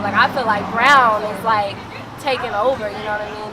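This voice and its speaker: Her pitch is fairly high for a woman. Noticeable background noise runs underneath. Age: 20s. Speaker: singer-songwriter. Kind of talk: interview answer. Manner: casual, candid.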